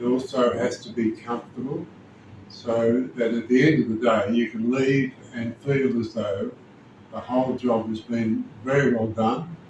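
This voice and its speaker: Here a man at medium pitch talks at a fairly slow pace with fairly even intonation. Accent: Australian. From Australia. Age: 70s. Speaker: dental patient. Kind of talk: testimony.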